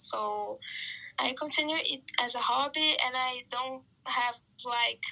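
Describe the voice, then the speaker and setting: Speaking very slowly in a Brazilian accent, a woman talks with a high pitch. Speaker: marketing worker and photographer. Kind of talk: podcast interview.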